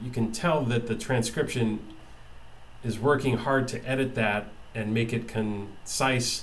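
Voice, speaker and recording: Amid audible room echo and noticeable background noise, a man speaks fairly slowly at a medium pitch with fairly even intonation and long, frequent pauses. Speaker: tech video maker testing software. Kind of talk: software demo tutorial. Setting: webcam recording at computer. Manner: halting, many fillers and repeats. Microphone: built-in monitor mic, about two feet away.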